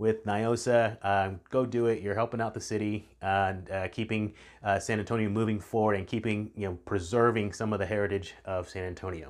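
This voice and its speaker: In a Texan accent, a man with a fairly low pitch speaks at a moderate pace. His intonation is fairly even, and the recording is very clean, with a silent background. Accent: Texan American English. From Texas Hill Country. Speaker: real estate agent. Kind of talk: casual video talk. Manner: halting, many fillers.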